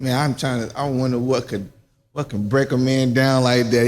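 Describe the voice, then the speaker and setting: Music plays in the background as a man speaks with a South Carolina accent. His pitch is medium and his pace moderate. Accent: US Southern (South Carolina). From South Carolina (Silver Bluff area). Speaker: interview show host. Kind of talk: casual interview.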